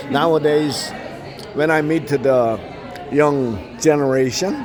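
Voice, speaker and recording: Against noticeable background noise and audible room echo, a man with a fairly high pitch and ordinary pitch variation talks at a very slow pace. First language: Korean. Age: 70s. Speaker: interviewer. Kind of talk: casual interview. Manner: halting.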